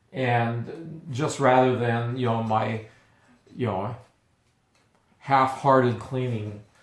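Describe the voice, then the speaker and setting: Audible room echo surrounds a man speaking very slowly at a medium pitch. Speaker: coffee roaster and video host. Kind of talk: product review and tutorial. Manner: halting with stutters and fillers.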